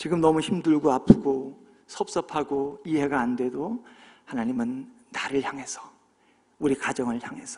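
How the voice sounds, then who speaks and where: The tone is dark and mellow, the pace fairly slow, and the loudness swings widely. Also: man, fairly high pitch for a man, ordinary pitch variation. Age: 60s. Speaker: pastor. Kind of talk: sermon.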